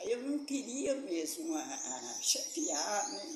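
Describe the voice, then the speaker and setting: A woman with a high pitch speaks with very wide pitch swings. Noticeable background noise and audible room echo fill the recording. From Minas Gerais, Brazil. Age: 80s+. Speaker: retired teacher and local tradition keeper. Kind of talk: interview testimony.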